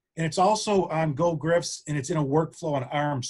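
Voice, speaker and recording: Somewhat breathy speech from a man, with ordinary pitch variation. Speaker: sports medicine director. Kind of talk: online town hall briefing.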